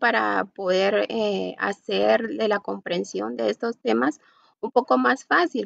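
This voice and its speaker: The background is quiet. The sound is dry, with no echo. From Guatemala. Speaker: university student. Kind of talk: class presentation. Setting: video call. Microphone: video call.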